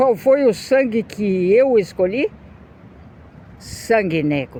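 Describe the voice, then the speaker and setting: Over noticeable background noise, a woman with a fairly high pitch speaks very slowly, her voice swinging very widely in pitch. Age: 60s. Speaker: video blogger. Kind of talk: opinion monologue.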